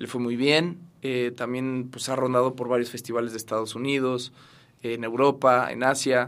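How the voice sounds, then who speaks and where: This man's pitch sits in the medium range. He keeps a moderate pace in a monotone, flat intonation. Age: 30s. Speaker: actor. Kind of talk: interview.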